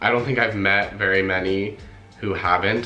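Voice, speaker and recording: Speaking with a General American accent at a fairly quick pace, a man talks over music in the background. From Los Angeles, California. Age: young. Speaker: ballet dancer. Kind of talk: casual talk to camera.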